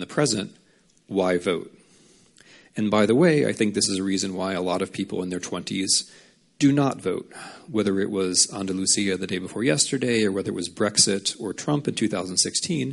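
A man with an American accent talks at a fairly quick pace and a fairly low pitch. His pitch varies in an ordinary way over a quiet background. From United States. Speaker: author and historian. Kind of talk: lecture.

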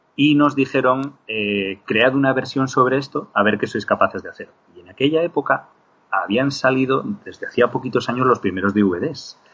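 This man has a normal speaking voice, medium pitch, ordinary pitch variation and big swings in loudness, talking at a moderate pace. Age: 40s. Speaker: digital compositor. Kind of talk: interview.

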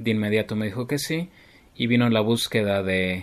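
A man talks in a plain, everyday voice with a fairly low pitch and fairly even intonation. His pace is fairly slow against a quiet background. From Mexico City. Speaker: keyboardist and composer. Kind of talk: interview.

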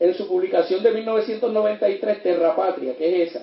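A man speaks with lively intonation. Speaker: criminologist and lecturer. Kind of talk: lecture.

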